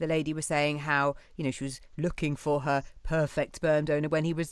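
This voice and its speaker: A woman with a British accent speaks in a very deep, low pitch on a very clean recording with a silent background. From UK. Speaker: podcast host. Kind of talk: interview.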